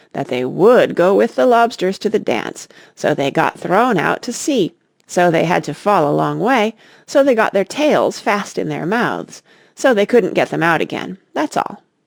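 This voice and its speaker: A raspy, put-on character voice at a middle pitch moves at a moderate pace in a very clean recording with a silent background. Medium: read story. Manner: impatient, solemn.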